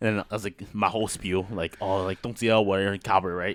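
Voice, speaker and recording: In a dry, close sound with no echo, a man talks at a fairly quick pace in an animated tone. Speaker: podcast host. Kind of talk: casual chat. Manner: loud.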